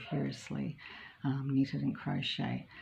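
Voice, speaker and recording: With an Australian accent, a woman speaks in a dark, mellow tone at a very deep, low pitch. She sounds somewhat breathy and moves at a moderate pace. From Australia, Melbourne. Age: 60s. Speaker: knitting vlogger. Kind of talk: casual chat. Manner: relaxed, hesitant with many ums.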